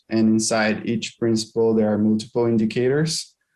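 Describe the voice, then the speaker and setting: A man speaks with a Portuguese accent. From Brazil. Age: 20s. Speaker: aquaculture auditor. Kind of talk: career interview. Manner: halting, with fillers.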